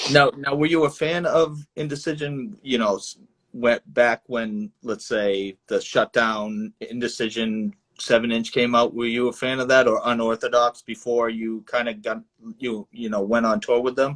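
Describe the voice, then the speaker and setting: A man with an American accent, at medium pitch and a moderate pace, a normal speaking voice with ordinary pitch variation, dry and close with no echo. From Boston area. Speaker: podcast host. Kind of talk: casual interview chat.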